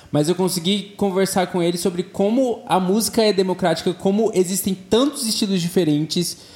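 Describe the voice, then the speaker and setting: Noticeable background noise runs beneath a man with a high pitch and ordinary pitch variation. He keeps a moderate pace and very even loudness, with hardly any pauses. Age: 20s. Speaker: pop singer and advertising professional. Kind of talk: casual chat.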